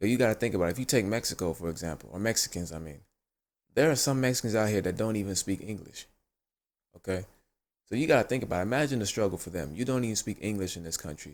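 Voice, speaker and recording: Very clean and with a silent background, this recording has a man speaking very fast in an American accent. His pitch is fairly low and his intonation lively. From US, child of Ghanaian immigrants. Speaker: commentary video host. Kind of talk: video commentary monologue. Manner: casual, many filler words.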